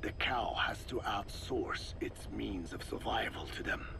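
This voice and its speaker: A man puts on a character voice at a fairly slow pace over loud background noise. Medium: machinima. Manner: formal, deliberate, professorial.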